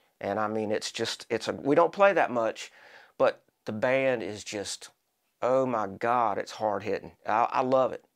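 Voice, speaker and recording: In a very clean recording with a silent background, a man talks at a fairly slow pace at medium pitch with ordinary pitch variation in an ordinary speaking voice. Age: 60s. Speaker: local rock musician, drummer. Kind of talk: casual interview chat.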